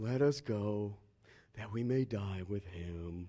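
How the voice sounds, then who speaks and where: Fairly slow delivery in a put-on character voice. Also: man, fairly low pitch for a man. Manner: slow, gloomy.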